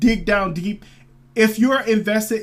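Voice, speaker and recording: Noticeable background noise sits behind the voice. It belongs to a man with a high pitch. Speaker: crypto commentary youtuber. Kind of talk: casual video commentary. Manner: fast; halting, many fillers.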